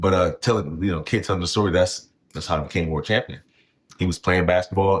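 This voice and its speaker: On a very clean recording with a silent background, a man with a very deep, low pitch and a somewhat breathy voice talks at a very fast pace. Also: fairly even intonation. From Hampton Roads, Virginia. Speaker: professional boxer. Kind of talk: casual interview. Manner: casual, filler-heavy.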